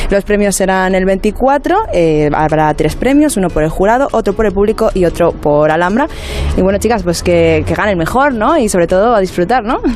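With noticeable background noise behind her, a woman speaks at a moderate pace and medium pitch, with lively intonation and very even loudness. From Spain, Móstoles (Madrid). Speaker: radio reporter. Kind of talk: field interview.

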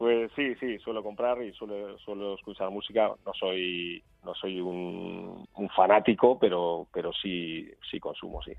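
This man has an ordinary speaking voice, fairly low in pitch, with fairly even intonation, a fairly slow pace and big swings in loudness. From Basque Country, Portugalete (Biscay). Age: 40s. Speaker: basketball coach. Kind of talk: interview.

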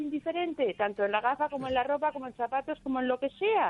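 A woman is speaking. Her pace is very fast. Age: 60s. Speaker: caller. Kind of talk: phone-in call.

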